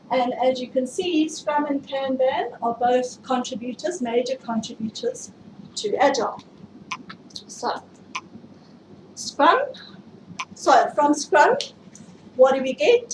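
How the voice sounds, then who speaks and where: A woman talks with a South African accent at a high pitch. Her pitch varies in an ordinary way, with long, frequent pauses. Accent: South African, often mistaken for Australian. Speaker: IT project management speaker. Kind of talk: tech meetup presentation. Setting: stage with audience, livestreamed.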